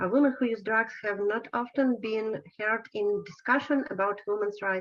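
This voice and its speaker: Her pitch fairly high, a woman with a Ukrainian accent speaks at a fairly slow pace with ordinary pitch variation. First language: Ukrainian or Russian. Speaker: advocate, soldier, co-author of brief. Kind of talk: presentation. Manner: halting.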